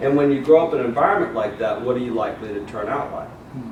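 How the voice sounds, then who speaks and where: Audible room echo and noticeable background noise surround a man speaking with an American accent. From US South, Mobile, Alabama. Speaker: motivational speaker. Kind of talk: motivational speech. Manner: animated.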